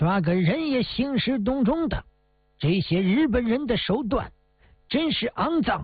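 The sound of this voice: Putting on a character voice, a man speaks at a fairly slow pace in an extremely high pitch with lively intonation and a slightly husky edge.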